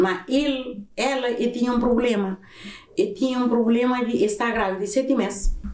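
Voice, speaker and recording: A woman speaks at a moderate pace with a high pitch, ordinary pitch variation and very even loudness. Noticeable background noise and audible room echo are present. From Cape Verde, Santiago island. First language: Cape Verdean Creole (speaking Portuguese). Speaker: podcast host's mother. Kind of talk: casual chat.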